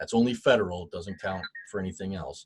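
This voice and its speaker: The sound is dry and close, with no echo. The voice is somewhat breathy. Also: man. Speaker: guest speaker on HR and unemployment. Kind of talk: webinar presentation. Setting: online webinar.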